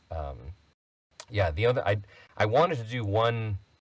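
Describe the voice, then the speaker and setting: In a very clean recording with a silent background, a man speaks in a somewhat breathy voice with lively intonation. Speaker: voice actor. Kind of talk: casual chat.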